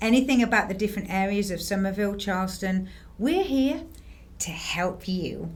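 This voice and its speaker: The speaker has an English accent and talks at a moderate pace with ordinary pitch variation. The room echo is audible. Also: woman, medium pitch for a woman. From northern England, Harrogate, North Yorkshire. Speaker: realtor. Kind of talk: casual chat.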